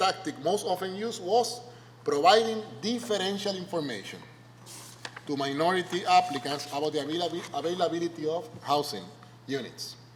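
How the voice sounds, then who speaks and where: A man speaks at a high pitch with lively intonation and a fairly quick pace. Noticeable background noise runs behind him. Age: 50s. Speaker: sociology professor. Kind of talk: lecture. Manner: conversational, frequent tag questions.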